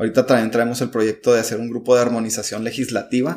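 A man talks at a very fast clip. His pitch sits in the middle range. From Mexico, Chihuahua. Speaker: migrant shelter director. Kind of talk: interview.

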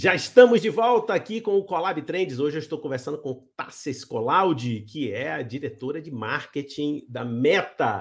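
A man speaks with very wide pitch swings and big swings in loudness, leaving hardly any pauses. The recording is very clean, with a silent background. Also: fairly high pitch for a man, moderate pace. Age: 60s. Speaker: interview show host. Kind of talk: interview.

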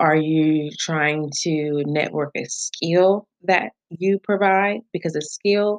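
Soft-spoken and at a very slow pace, a woman talks with a fairly low pitch and ordinary pitch variation, in a dry, close sound with no echo. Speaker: podcast host. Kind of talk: solo podcast monologue. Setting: pre-recorded. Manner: soft-spoken in personal life, firm on camera.

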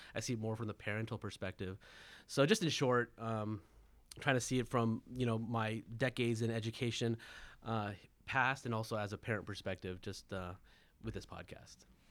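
A plain, everyday voice from a man with an American accent, medium in pitch, at a moderate pace, on a very clean recording with a silent background. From Southern California. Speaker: education consultant and parent. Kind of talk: roundtable discussion.

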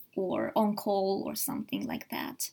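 Speaking with a Japanese accent, a woman sounds somewhat breathy. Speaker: psychiatrist. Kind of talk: casual bilingual discussion. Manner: hesitant, many fillers.

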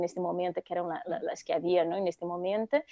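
Heard on a very clean recording with a silent background, a woman with a Brazilian accent speaks at a medium pitch in a dark, mellow tone. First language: Portuguese (speaking Spanish). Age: 40s. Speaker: eco-designer. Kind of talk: interview.

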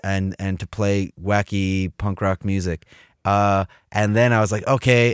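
Recorded very cleanly against a silent background, a man speaks with an American accent at a fairly low pitch. The sound is dry and close, with no echo. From US Midwest, Cleveland, Ohio. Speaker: musician and graphic designer. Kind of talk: casual chat. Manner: animated.

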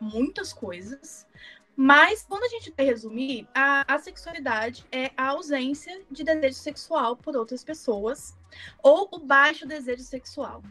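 Music plays in the background as a woman speaks at a moderate pace. Her pitch is high and her intonation lively. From Brazil, Minas Gerais. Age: 20s. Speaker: designer, podcast guest. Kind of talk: casual chat.

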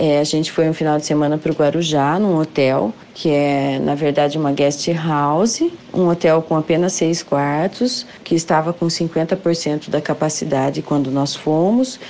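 Amid noticeable background noise, a woman with a very deep, low pitch speaks fairly slowly, with ordinary pitch variation and very even loudness. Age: 40s. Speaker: civil servant. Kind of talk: testimony.

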